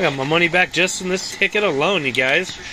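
Delivered at a moderate pace, the speech comes over noticeable background noise. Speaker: lottery scratch-ticket vlogger. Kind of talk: casual vlog chat. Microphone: phone near.

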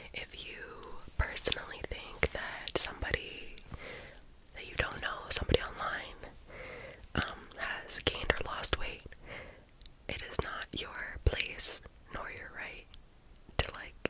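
Loud background noise sits under a woman's voice. She speaks at a fairly slow pace with long, frequent pauses. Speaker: ASMR creator. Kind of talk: casual vlog chat. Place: home room. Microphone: studio mic.

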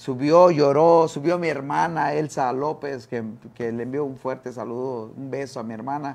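Talking at a moderate pace, a man keeps a fairly high pitch and fairly even intonation. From Quintana Roo, Mexico. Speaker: former boxer and boxing coach; guest. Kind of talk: interview. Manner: halting, many fillers and repeated words. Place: studio. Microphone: lapel.

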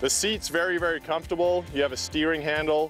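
A man talks with ordinary pitch variation, and the sound is dry with no echo. Faint music plays in the background. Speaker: presenter. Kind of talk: product walkthrough. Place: open country.

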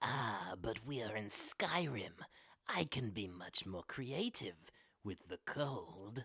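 At a fairly slow pace, a put-on character voice speaks low and with a menacing, theatrical tone. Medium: voice reel. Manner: menacing, cold, theatrical.

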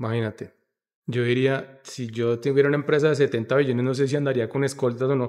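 Against a quiet background, a man talks at a very fast pace. His intonation is flat and monotone. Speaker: podcast host. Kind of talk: casual interview question. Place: cafe. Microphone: studio mic.

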